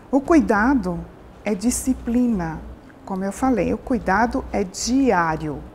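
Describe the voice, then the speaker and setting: A woman speaks at a very slow pace. Her voice has vocal fry. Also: medium pitch for a woman, lively intonation. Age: 60s. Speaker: aesthetic doctor. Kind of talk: interview. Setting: TV program on location.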